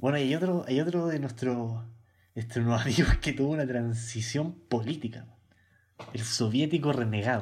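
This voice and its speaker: A man with a mid-range, somewhat breathy voice talks at a medium tempo, his pitch moving in a typical way. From Chile, Santiago. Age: 20s. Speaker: podcast co-host, journalism student. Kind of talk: casual chat. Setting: video call.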